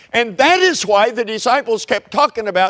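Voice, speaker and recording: A man speaks with an Oklahoma accent. His pitch swings very widely. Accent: Oklahoma Southern US. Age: 70s. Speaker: preacher. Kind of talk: sermon.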